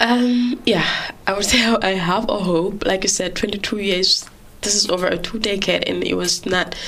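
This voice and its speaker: At a moderate pace, a woman speaks with fairly even intonation and a medium pitch while noticeable background noise runs underneath. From Gambia. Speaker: journalist. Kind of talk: interview. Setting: studio. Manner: halting.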